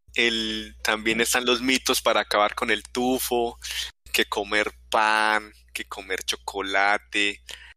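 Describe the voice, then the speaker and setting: Monotone, flat delivery in a bright, sharp tone, dry and close with no echo. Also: man. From Colombia, not Medellín. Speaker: podcast host. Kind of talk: casual chat. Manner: halting, repetitive.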